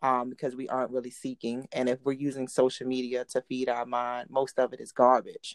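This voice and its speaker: A woman with a very deep, low pitch talks at a fairly quick pace with hardly any pauses. Her intonation is monotone and flat, her loudness swings widely, and the sound is dry and close with no echo. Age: 30s. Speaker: podcaster. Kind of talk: casual chat.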